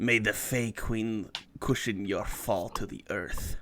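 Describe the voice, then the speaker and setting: A man does a put-on character voice at a medium pitch. He speaks at a fairly slow pace with fairly even intonation. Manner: booming, dramatic, incantation-like.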